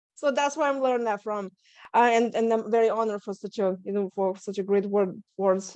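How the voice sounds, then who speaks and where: At a fairly quick pace, a woman speaks with a Lithuanian accent and ordinary pitch variation. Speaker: stress management coach and author. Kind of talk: interview. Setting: video call.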